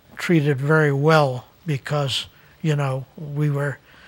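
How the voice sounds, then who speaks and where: Somewhat breathy and fairly high in pitch, the man speaks in a monotone with flat intonation. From Netherlands, emigrated as child to New Jersey. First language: Dutch. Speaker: retired resident sharing life story. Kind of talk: interview. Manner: halting, many fillers.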